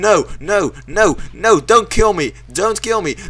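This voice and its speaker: A man's voice has a bright, sharp tone. His pitch variation is ordinary. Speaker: gaming YouTuber. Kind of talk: casual gameplay commentary. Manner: excitable, swearing when frustrated.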